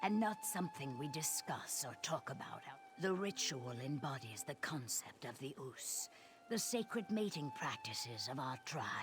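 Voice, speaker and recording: A put-on character voice at low-to-middle pitch and a moderate pace, with clear music in the background. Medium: video game. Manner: formal, guarded.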